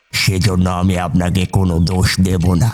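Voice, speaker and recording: Music plays in the background as someone delivers a put-on character voice at a fairly slow pace. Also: man. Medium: audio drama. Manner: sighing, persuasive.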